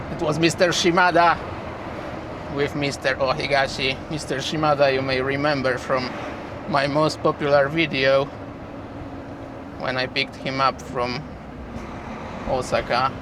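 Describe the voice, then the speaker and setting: Through noticeable background noise, a man with a fairly high pitch speaks at a moderate pace in a monotone, flat intonation, with long, frequent pauses. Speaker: truck driver vlogger. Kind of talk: casual driving vlog narration. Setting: in a truck cab with windows open. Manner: loud.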